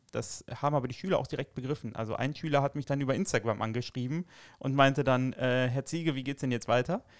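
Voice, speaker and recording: In a very clean recording with a silent background, a man speaks very fast. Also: medium pitch for a man, ordinary pitch variation, dry, close sound with no echo. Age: 30s. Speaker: teacher. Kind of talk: casual interview.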